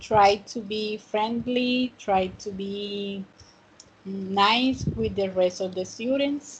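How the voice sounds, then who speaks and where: The woman's somewhat breathy voice sits at a fairly high pitch and shows ordinary pitch variation. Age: 30s. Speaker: student teacher of English. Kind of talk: online class.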